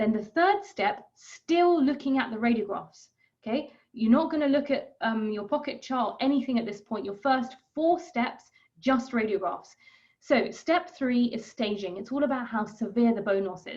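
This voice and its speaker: A woman speaks at a high pitch in a British accent, with audible room echo in the recording. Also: lively intonation. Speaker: periodontal specialist dentist. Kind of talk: lecture. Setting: webinar. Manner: fast.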